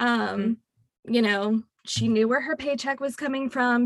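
A woman speaks with a high pitch and fairly even intonation, the sound dry and close with no echo. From Louisiana. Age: 20s. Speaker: tax accountant. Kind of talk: casual interview.

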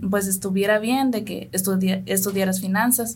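A woman's somewhat breathy, monotone, flat delivery at a fairly slow pace, with audible room echo. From San Luis Potosí, Mexico (Tének community). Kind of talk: radio interview.

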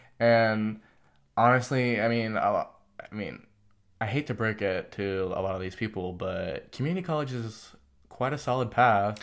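A man with an American accent has a plain, everyday voice at a medium pitch with ordinary pitch variation and a moderate pace. The recording is very clean with a silent background. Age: 18. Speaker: interview guest. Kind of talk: casual chat. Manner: casual, filler-heavy.

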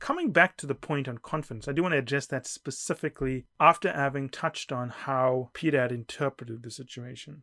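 A man with a bright, sharp tone and a fairly high pitch speaks at a fairly quick pace with fairly even intonation, though his loudness swings widely. The sound is dry and close with no echo, on a very clean recording with a silent background. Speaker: management consulting coach and podcast host. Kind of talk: solo podcast monologue. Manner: soft-spoken.

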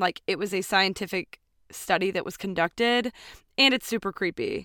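In a very clean recording with a silent background, a woman talks at a fairly quick pace in an unremarkable speaking voice. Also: dry, close sound with no echo. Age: 30s. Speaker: podcast co-host. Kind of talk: casual chat with storytelling.

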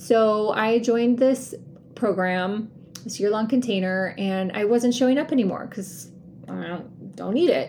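At a fairly slow pace, a woman speaks in a plain, everyday voice, fairly high in pitch with ordinary pitch variation. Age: 50s. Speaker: podcast host and life coach. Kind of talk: solo podcast monologue. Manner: casual, with laughter.

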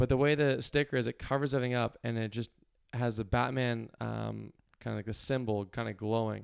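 This man talks fairly quickly with a Maritime Canadian accent. His pitch is medium and his intonation fairly even. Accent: Canadian (Maritimes). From Nova Scotia, Canada (Cole Harbour, Halifax area). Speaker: yacht crew member. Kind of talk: casual interview chat.

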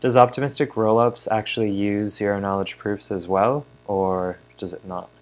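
A plain, everyday voice from a man, fairly low in pitch, with fairly even intonation, big swings in loudness and a moderate pace. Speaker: podcast co-host. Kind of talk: casual chat.

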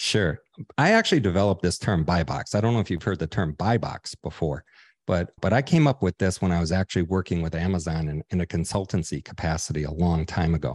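A man with a very deep, low voice at a very fast pace, ordinary pitch variation, dry close sound with no echo and a quiet background. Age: 60s. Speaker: entrepreneur and online seller. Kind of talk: interview.

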